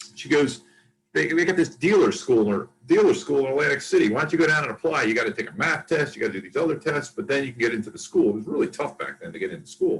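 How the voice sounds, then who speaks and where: A man with an American accent, a very fast pace and big swings in loudness. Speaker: casino executive. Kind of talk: interview.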